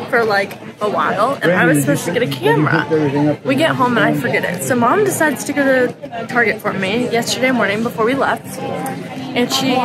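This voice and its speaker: Crowd noise fills the background. The speech runs at a fairly quick pace with hardly any pauses. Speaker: vlogger. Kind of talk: casual vlog chat. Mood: cheerful, laughing. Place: street. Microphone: phone near.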